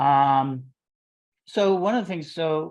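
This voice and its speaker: With a Chicago accent, a man speaks at a fairly high pitch for a man against a quiet background. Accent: Chicago accent, noticeable. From US Midwest, Chicago. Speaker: interview show host, religious order leader. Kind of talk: casual interview.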